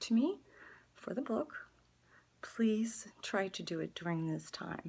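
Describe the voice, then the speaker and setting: A woman's voice is somewhat breathy, with lively intonation. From Netherlands. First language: Dutch. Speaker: artist. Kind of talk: direct-to-camera appeal. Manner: halting.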